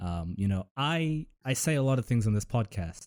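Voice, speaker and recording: Recorded very cleanly against a silent background, a man with an American accent speaks in a fairly low pitch and a dark, mellow tone with a dry, close sound and no echo. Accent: fluctuates between American and British. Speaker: podcast host. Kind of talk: casual chat.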